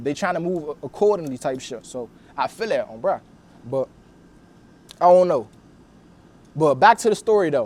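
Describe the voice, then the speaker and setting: Lively intonation in a Washington DC accent. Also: man. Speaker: video interviewer and content creator. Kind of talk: casual interview storytelling. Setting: filmed interview.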